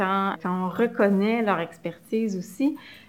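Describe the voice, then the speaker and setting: The speaker talks at a fairly slow pace with a Quebec accent and ordinary pitch variation. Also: woman. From Quebec, Montreal. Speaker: community organization worker. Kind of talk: interview.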